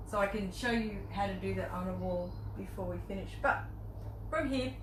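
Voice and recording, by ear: A woman talks at a moderate pace and medium pitch, with ordinary pitch variation. Background noise is clearly audible.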